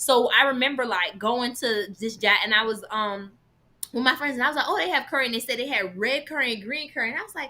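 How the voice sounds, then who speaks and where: A woman speaks at a very fast pace in a high voice. Her tone is bright, sharp and animated. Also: ordinary pitch variation. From Jamaican background. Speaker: vegan content creator. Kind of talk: casual chat.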